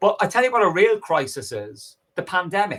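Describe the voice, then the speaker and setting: A man speaks in a bright, sharp, animated tone. The recording is very clean, with a silent background. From Ireland, Dublin working-class. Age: 60s. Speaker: professor and political activist. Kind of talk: podcast interview.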